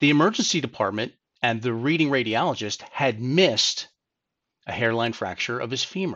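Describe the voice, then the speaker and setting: In an ordinary speaking voice, a man talks at a fairly quick pace and medium pitch with lively intonation. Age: 50s. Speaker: personal injury lawyer. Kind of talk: legal advice monologue.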